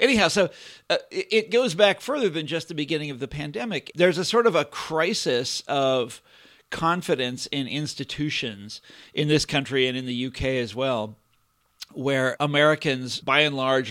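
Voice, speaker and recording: Recorded very cleanly against a silent background, a man with a fairly high pitch and lively intonation has an ordinary speaking voice. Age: 50s. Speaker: historian and writer. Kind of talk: casual chat.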